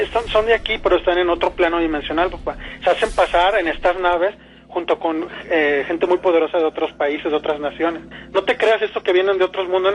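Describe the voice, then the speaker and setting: Speech comes at a very fast pace with fairly even intonation. Noticeable background noise runs underneath. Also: man, high pitch for a man. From Mexico. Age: 30s. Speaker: caller. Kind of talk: personal testimony. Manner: halting.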